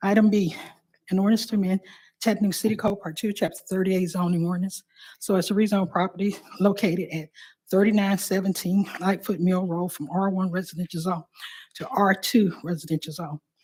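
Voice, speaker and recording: A woman with a medium pitch and a dark, mellow tone, somewhat breathy. She speaks at a fairly quick pace with fairly even intonation. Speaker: city council clerk. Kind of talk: reading aloud legislative items. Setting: city council meeting.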